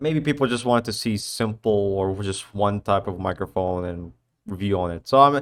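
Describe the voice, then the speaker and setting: In a very clean recording with a silent background, a man talks at a moderate pace with lively intonation. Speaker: gaming and tech YouTuber. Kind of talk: casual vlog outro. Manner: halting, self-correcting.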